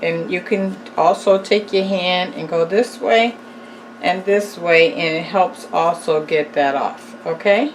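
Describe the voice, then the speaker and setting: Against noticeable background noise, a woman talks at a very slow pace in a relaxed tone. Her medium-pitched voice has lively intonation. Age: old. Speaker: cooking youtuber. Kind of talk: tutorial; casual chat.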